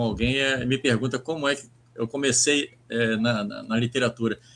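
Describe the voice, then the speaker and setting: The intonation is a flat monotone. The pace is moderate. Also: man. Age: 60s. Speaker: writer and poet. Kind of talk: interview. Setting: live stream. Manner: halting, many repetitions.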